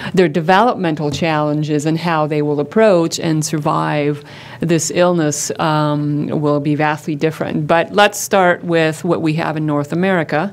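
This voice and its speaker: The speech moves at a moderate pace with fairly even intonation and hardly any pauses, against noticeable background noise. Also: woman, very deep, low pitch for a woman. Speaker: psycho-oncology researcher and clinician. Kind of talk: conference talk. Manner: loud.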